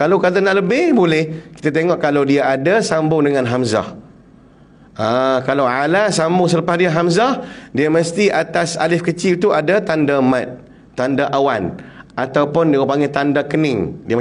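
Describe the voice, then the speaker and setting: Ordinary pitch variation marks a man's voice. He keeps a moderate pace. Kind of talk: teaching.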